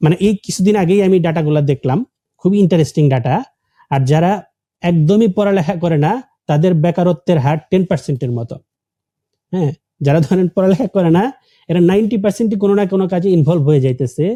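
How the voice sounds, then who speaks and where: A man speaks at a high pitch with a dark, mellow tone and ordinary pitch variation. The sound is dry and close, with no echo. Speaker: career and tech educator, author. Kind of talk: podcast interview.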